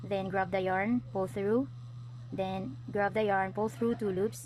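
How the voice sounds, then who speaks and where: The voice is somewhat breathy, with a Filipino accent. The pace is fairly slow. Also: woman. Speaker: crochet tutorial vlogger. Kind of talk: tutorial. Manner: hesitant, many fillers.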